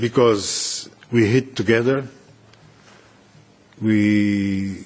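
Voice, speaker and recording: A man speaks with a non-native accent at a fairly low pitch. His intonation stays fairly even. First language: not English. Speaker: former war interpreter. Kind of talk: speech at a hearing.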